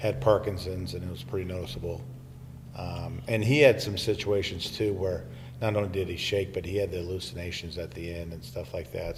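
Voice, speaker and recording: With an American accent, a man speaks at a moderate pace and fairly low pitch, with ordinary pitch variation. His loudness swings widely, and room echo is audible. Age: 60s. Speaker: retired school superintendent. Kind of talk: casual chat. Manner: halting, many fillers.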